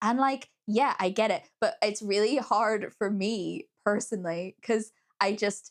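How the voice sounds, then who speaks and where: A woman at a fairly high pitch and a fairly slow pace. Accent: Northern Irish. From Northern Ireland. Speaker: book reviewer. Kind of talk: casual chat. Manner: hesitant, many fillers.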